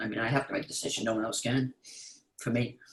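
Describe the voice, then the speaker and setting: A man talks at a very fast pace. His intonation is monotone and flat. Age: 80s+. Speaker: call participant. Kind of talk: casual chat.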